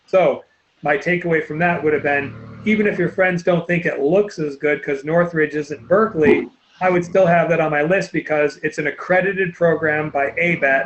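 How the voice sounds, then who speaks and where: This man has a high-pitched voice. His intonation stays fairly even. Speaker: college admissions counselor. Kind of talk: webinar presentation. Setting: online webinar. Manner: fast.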